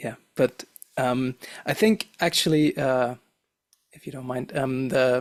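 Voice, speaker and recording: Recorded dry and close with no echo, a man with a non-native accent speaks at a fairly slow pace and medium pitch, pausing long and often. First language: not English. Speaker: physicist and teacher. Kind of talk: casual chat.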